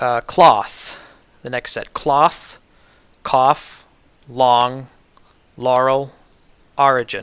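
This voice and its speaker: Very slowly and with long, frequent pauses, a man with an American accent speaks at medium pitch with fairly even intonation. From New York City. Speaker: ESL pronunciation teacher. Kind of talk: tutorial. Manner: halting, many fillers.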